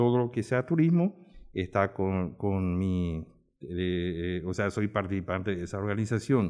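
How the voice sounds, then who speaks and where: A man with a very deep, low pitch speaks fairly slowly, with ordinary pitch variation. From Paraguay, Asunción. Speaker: tourism industry veteran. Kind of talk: round-table discussion.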